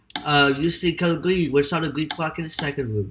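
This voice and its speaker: The man's voice has a bright, sharp tone. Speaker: gaming video creator. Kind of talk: game walkthrough commentary. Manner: hesitant, with fillers.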